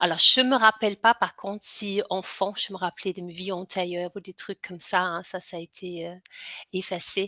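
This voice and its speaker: A woman's medium-pitched voice, bright and sharp in tone, with a slight Danish accent, fairly even intonation and a fairly slow pace, dry and close with no echo against a quiet background. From Denmark. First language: Danish (speaking French). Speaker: hypnotherapist and author. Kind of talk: interview. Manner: halting, many fillers and repetitions.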